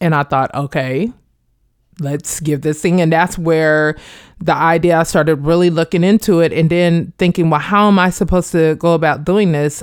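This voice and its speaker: In a very clean recording with a silent background, a woman with a plain, everyday voice and an American accent speaks at a moderate pace in a fairly low pitch, her loudness very even. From Kansas, Wichita. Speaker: performance artist and educator, Air Force veteran. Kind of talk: interview testimony.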